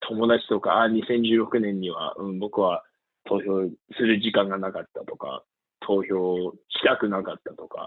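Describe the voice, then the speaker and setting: A man with an English accent talks at a fairly slow pace. His loudness swings widely. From US, Pennsylvania. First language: English (speaking Japanese). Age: 20s. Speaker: voter-registration volunteer field manager. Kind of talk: interview. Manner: halting, with fillers.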